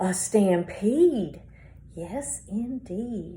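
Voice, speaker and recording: Medium-pitched woman in a put-on character voice. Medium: read story. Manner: barking.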